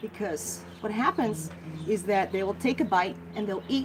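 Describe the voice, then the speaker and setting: Music plays in the background as a woman speaks. Her tone is animated and her pace moderate. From Netherlands. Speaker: guinea pig rescuer and care expert. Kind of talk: live Q&A stream.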